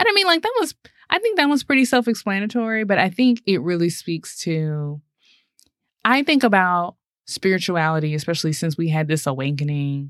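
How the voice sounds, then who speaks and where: A woman's normal speaking voice, lively in intonation and moderate in pace, in a very clean recording with a silent background. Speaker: podcast co-host. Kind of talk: casual podcast conversation.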